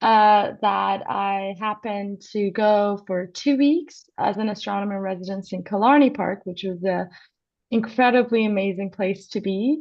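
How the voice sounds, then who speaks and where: A woman speaks with an Iranian accent at a moderate pace. Her pitch varies in an ordinary way. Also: medium pitch for a woman. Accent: Iranian (Persian). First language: Persian. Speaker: astronomy PhD student and co-host. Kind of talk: live broadcast conversation.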